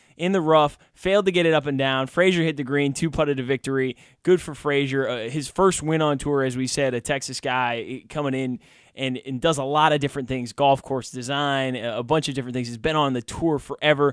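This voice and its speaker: A man speaks at a moderate pace with ordinary pitch variation. The sound is dry with no echo and a quiet background. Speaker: radio show host. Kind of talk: radio sports talk commentary. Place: studio.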